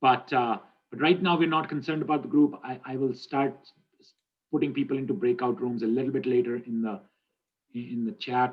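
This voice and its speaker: Long, frequent pauses mark this man's speech, which sits at a medium pitch with ordinary pitch variation. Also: fairly quick pace. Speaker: university instructor. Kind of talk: online class lecture. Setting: video call. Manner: fast; halting.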